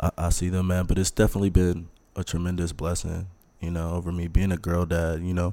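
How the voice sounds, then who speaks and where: With an American accent, this voice has a dark, mellow tone, monotone, flat intonation and a very fast pace in a very clean recording with a silent background. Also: man, very deep, low pitch for a man. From Texas. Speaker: former college football player. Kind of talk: casual interview. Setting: studio.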